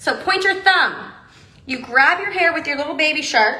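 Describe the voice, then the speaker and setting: Projecting a raised voice at a high pitch, a woman with an American accent speaks at a moderate pace with audible room echo. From Texas. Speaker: hair accessory brand presenter; presenter. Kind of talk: livestream tutorial. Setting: Instagram live video. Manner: animated. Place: studio. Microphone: phone near.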